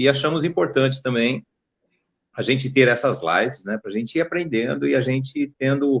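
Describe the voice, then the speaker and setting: An ordinary speaking voice moves at a fairly quick pace with lively intonation. The sound is dry and close, with no echo. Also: man. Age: 60s. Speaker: civil engineer and mayoral pre-candidate. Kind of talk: panel discussion on live stream.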